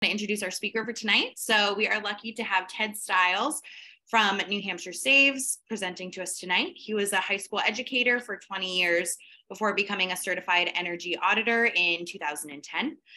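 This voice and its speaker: Her tone bright and sharp, a woman speaks at a fairly quick pace and medium pitch with ordinary pitch variation. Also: quiet background. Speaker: event moderator. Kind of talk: formal introduction and moderation. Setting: video call. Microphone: video call.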